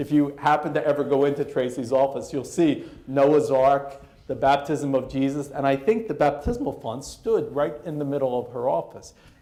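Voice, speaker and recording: Speaking with an American accent, a man with a fairly high pitch talks at a moderate pace with ordinary pitch variation, and audible room echo surrounds his voice. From US East Coast. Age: 50s. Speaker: professor. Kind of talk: lecture.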